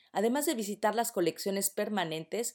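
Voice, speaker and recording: A woman with a Mexican accent speaks at a fairly quick pace with lively intonation. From Mexico City. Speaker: radio co-host. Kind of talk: radio announcements and chat.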